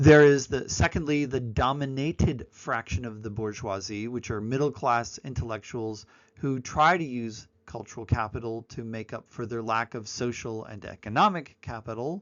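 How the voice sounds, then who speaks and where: At a moderate pace, a man speaks with a medium pitch, ordinary pitch variation and big swings in loudness. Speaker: university lecturer. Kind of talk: lecture. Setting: recorded online presentation.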